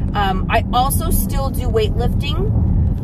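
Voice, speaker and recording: Loud background noise fills the recording, which is otherwise dry with no echo. The speech is very slow. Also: woman. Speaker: vlogger and weight loss coach. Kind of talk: casual vlog talk to camera. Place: car. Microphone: phone near.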